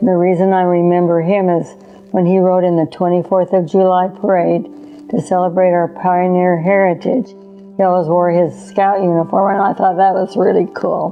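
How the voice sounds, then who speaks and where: With music in the background, a woman with a western US accent speaks in a monotone, flat intonation at a very even loudness. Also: medium pitch for a woman, moderate pace. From Utah, Salt Lake City. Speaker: interviewee sharing life story. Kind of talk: life story testimony.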